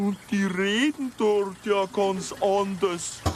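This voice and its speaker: Someone in a put-on character voice speaks very slowly at a middle pitch, with clear background noise. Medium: comedy sketch.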